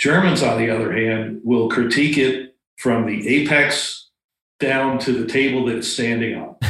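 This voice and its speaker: In a plain, everyday voice, a man speaks at medium pitch with fairly even intonation. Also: moderate pace. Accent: American. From Florida. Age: 60s. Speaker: retired pilot and bonsai practitioner. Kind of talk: casual chat.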